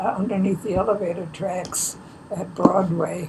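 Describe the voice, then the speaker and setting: A woman's medium-pitched voice with an American accent and fairly even intonation, with noticeable background noise. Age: 90s. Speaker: elderly local resident. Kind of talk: oral history interview.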